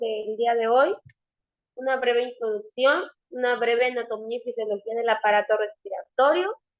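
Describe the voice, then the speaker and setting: Using fairly even intonation, a woman talks at a moderate pace with a high pitch. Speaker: nurse and nursing instructor. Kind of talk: online lecture. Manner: hesitant, many filler sounds.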